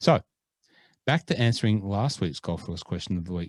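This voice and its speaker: A man with an Australian accent speaks with a very deep, low pitch and ordinary pitch variation. The sound is dry and close, with no echo. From Australia (born Scotland). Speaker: podcast co-host. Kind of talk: casual chat. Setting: remote call.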